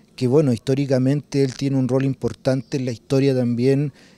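A man's dark, mellow voice with a dry sound and no echo. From Chile, Santiago (Conchalí); Chile. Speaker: documentary filmmaker. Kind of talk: interview; interview answer. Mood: calm, reflective. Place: garden. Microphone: handheld.

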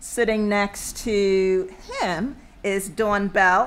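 A woman speaks in a monotone, flat intonation. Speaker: panel moderator. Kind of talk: panel introduction. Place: hall. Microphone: podium.

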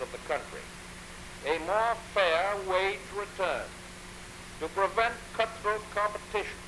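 Amid noticeable background noise, a man with an American accent and high pitch speaks in a raised, projected voice. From United States. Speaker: president. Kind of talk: radio address to the nation. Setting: 1930s radio broadcast recording. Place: office. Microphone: old recording.

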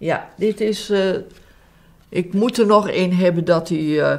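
This is a woman speaking. Her pace is very slow. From Alkmaar, Netherlands. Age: 80s+. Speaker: interviewee recalling war memories. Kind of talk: interview answer. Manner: hesitant, halting. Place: home room.

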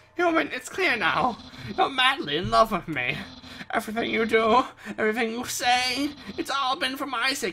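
A put-on character voice, loud and strained, fairly high in pitch, with a smug tone at a moderate pace. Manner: loud, strained, smug.

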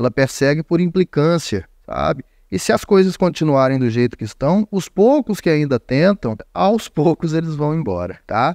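A man with a dark, mellow tone talks at a moderate pace with lively intonation, the sound dry with no echo against a quiet background. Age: 30s. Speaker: online news show host. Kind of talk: opinion commentary. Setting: studio. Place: studio. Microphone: studio mic.

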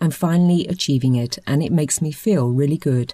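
A woman's very deep, low voice, somewhat breathy with a dark, mellow tone, moves with lively intonation at a moderate pace. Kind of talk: news report read.

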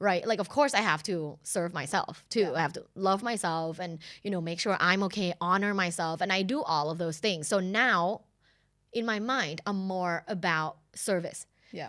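Against a quiet background, a woman speaks at a moderate pace in a bright, sharp, animated tone with ordinary pitch variation. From Thailand. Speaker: sex and relationship educator, podcast host; podcast host or guest. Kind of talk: casual interview chat. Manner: animated, laughing often. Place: studio. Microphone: studio mic.

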